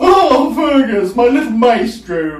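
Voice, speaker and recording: Using a put-on character voice, a man speaks at an extremely high pitch and a fairly slow pace. There is a slight echo. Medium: read story. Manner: trilling, gushing.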